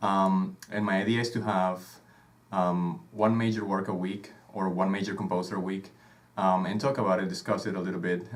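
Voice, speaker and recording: A man speaks in a very deep, low voice with a Venezuelan accent, at a fairly quick pace and with monotone, flat intonation. The room echo is audible, and background noise is noticeable. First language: Spanish. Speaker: podcast host, conductor. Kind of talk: casual chat. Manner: hesitant, many filler sounds.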